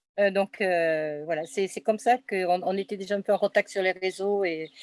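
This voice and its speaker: On a very clean recording with a silent background, a woman speaks at medium pitch and a moderate pace. Her intonation is fairly even, and the sound is dry and close with no echo. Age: 60s. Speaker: psychotherapist. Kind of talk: interview testimony. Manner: halting, many hesitations.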